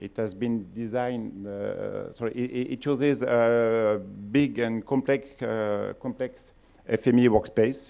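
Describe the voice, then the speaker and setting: Speaking at a very slow pace with a strong French accent, a man uses a medium pitch, fairly even intonation and a dark, mellow tone. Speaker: company founder and CEO. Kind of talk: conference talk. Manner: halting.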